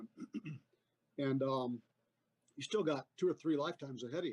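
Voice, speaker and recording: With a plain, everyday voice, a man talks fairly quickly at a fairly high pitch with ordinary variation, recorded dry and close with no echo. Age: 60s. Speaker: army veteran. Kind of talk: casual interview chat.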